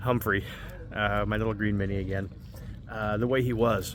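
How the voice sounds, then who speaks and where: There is audible room echo around this man's voice. He speaks in an American accent at a fairly low pitch. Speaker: car vlogger. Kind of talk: casual vlog talk to camera. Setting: outdoors, school parking lot. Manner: halting, stuttering.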